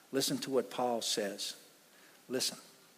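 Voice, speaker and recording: The speaker is a man with a medium pitch. He goes at a fairly slow pace. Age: 60s. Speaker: pastor. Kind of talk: sermon. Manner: animated.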